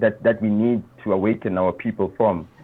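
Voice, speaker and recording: Noticeable background noise beneath a man's fairly low-pitched voice. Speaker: political commentator and YouTuber. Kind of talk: casual interview.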